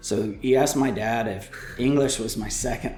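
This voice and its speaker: A man with an American accent at a moderate pace and fairly even intonation, with audible room echo and music in the background. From Texas (Houston/Dallas). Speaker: analytics director and former instructor. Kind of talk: casual chat. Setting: studio.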